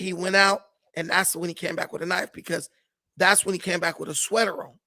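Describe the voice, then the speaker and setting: Raised and projected, this man's voice is animated, bright and sharp, moving at a moderate pace. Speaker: podcast guest telling his side. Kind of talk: casual storytelling interview.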